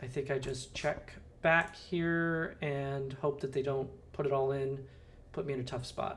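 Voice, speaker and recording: A man with an American accent speaks at a fairly slow pace in a fairly high voice with fairly even intonation, and audible room echo. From Southern California. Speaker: poker streamer. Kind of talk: live stream commentary. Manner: casual, hesitant with many fillers.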